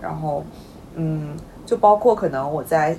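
A woman speaks at a fairly slow pace in a very deep, low voice with ordinary pitch variation, over noticeable background noise. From Weihai, Shandong. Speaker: podcast co-host. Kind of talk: casual chat.

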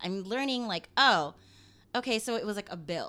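In a very clean recording with a silent background, a woman with a West Coast American accent speaks fairly quickly at a medium pitch, her bright, sharp tone swinging very widely in pitch. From Los Angeles. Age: 30s. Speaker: activist. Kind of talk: interview. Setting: at her home.

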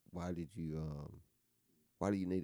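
With a Southern US accent, a man talks at a fairly quick pace. His voice is very deep and low, with a dark, mellow tone. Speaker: podcast co-host. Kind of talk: casual chat.

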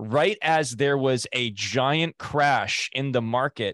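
A man with a plain, everyday voice at a medium pitch, his intonation rising and falling in the usual way. The sound is dry and close with no echo, over a quiet background. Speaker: podcast host, former TMZ field producer. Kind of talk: casual interview podcast. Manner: casual, conversational, chatty.

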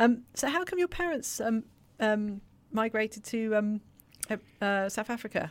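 The speaker has an English accent and lively intonation at a fairly slow pace. Long, frequent pauses stand out on a very clean recording with a silent background. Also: woman, fairly high pitch for a woman. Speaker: podcast co-host. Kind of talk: interview.

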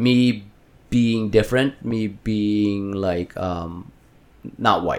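On a very clean recording with a silent background, a man with a Filipino accent talks at a very slow pace in a fairly low pitch with ordinary pitch variation. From Philippines. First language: Tagalog. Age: 30s. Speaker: healthcare worker for elderly patients. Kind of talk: casual chat.

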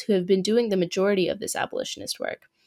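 A woman talks at a very fast pace with vocal fry and fairly even intonation. The recording is very clean, with a silent background. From US Midwest (small town Iowa), born in Pakistan. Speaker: student podcast host. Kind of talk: scripted narration.

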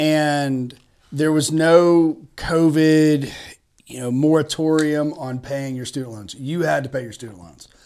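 Fairly slow speech in a Tennessee accent, fairly even in intonation, with big swings in loudness. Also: man, fairly high pitch for a man. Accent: Southern US (Tennessee). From East Tennessee, Chattanooga. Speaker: attorney and real estate investor. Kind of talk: podcast interview.

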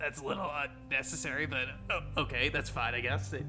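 Using a put-on character voice, a man talks at a fairly quick pace over clear background music.

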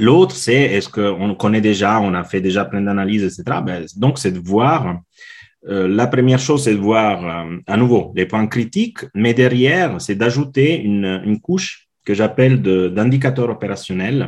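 A man speaks at a fairly slow pace with an Italian accent. His pitch is fairly low, with ordinary variation. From Italy. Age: 40s. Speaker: customer experience consultant. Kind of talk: interview. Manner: halting.

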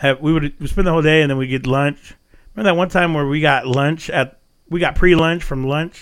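With an American accent and an unremarkable speaking voice, a man talks at a moderate pace, fairly high in pitch with ordinary pitch variation. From Texas, Glen Rose. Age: 30s. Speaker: podcast host. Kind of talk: casual chat.

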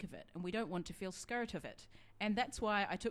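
This is a natural reading voice. The words are read out in a natural reading voice.

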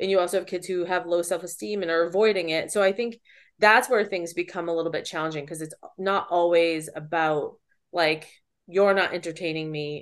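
A woman with a normal speaking voice, fairly low in pitch, at a fairly quick pace with fairly even intonation over a quiet background. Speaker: special education teacher and podcast host. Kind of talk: casual chat between co-hosts. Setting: virtual recording, remote.

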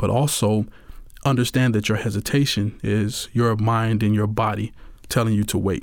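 Flat, monotone intonation runs through the clip at a very even loudness. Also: man, fairly low pitch for a man, moderate pace, very clean recording, silent background. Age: 30s. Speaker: divorce advice author. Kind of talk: casual advice monologue. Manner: halting, with fillers; laughs often.

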